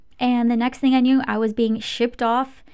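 This woman has a high pitch and an American accent, delivering her words in a monotone with flat intonation. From Michigan, US. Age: 30s. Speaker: podcast host and spiritual mentor. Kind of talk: casual personal storytelling monologue.

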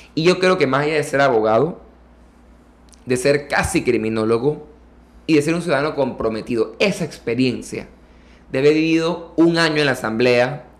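Delivered at a moderate speed, the speech uses an unremarkable speaking voice whose pitch moves in an ordinary way. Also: man. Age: 20s. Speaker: political candidate and lawyer. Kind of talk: interview.

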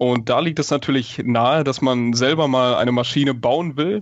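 At a fairly slow pace, a man talks in an ordinary speaking voice with medium pitch and ordinary pitch variation. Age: 20s. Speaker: stage magician and engineering student. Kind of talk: interview.

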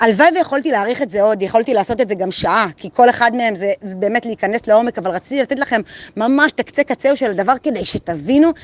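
Speaking at a fairly quick pace, a woman with a fairly high pitch and lively intonation is recorded with a dry, close sound and no echo. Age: 40s. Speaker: motivational group leader. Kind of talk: daily motivational monologue. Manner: casual, animated.

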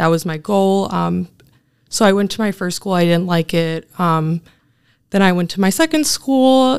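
With a medium pitch, lively intonation and a fairly slow pace, a woman speaks in an ordinary speaking voice on a very clean recording with a silent background. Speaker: graduate student. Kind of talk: interview.

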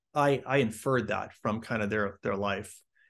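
A man against a quiet background. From Chicago, US. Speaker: apologetics speaker and author. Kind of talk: interview.

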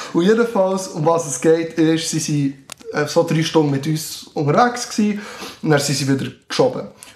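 Intonation here is lively, at a moderate pace. Noticeable background noise runs underneath. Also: man, fairly high pitch for a man. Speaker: scout leader. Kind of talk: casual chat. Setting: studio.

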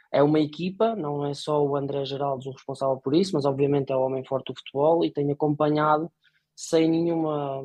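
A man with an unremarkable speaking voice talks at a moderate pace with fairly even intonation and a fairly high pitch. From northern Portugal, Póvoa de Varzim. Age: 30s. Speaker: football club supporter, executive recruitment consultant. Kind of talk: casual chat.

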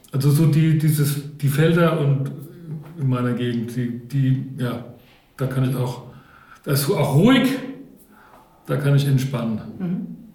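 Pitched fairly high, a man speaks at a very slow pace with long, frequent pauses and ordinary pitch variation. Room echo is audible. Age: 50s. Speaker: parish volunteer. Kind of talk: casual discussion.

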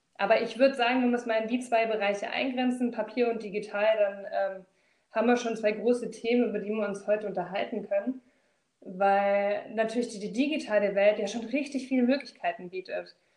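This woman has a normal speaking voice, pitched fairly high. She talks at a fairly quick pace with fairly even intonation. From Swabia, southern Germany. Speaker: corporate trainer and recruiter. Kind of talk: casual interview.

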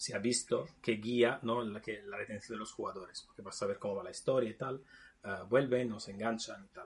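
A man speaks with an Italian accent at a medium pitch. His voice is somewhat breathy. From Naples, Italy. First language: Italian (speaking Spanish). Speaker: video game developer. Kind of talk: casual chat.

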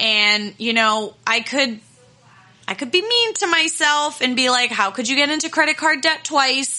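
A woman uses a raised, projected voice with a high pitch. She talks at a moderate pace with lively intonation. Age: 30s. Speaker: podcast host and confidence coach. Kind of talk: solo podcast monologue. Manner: casual, with frequent fillers.

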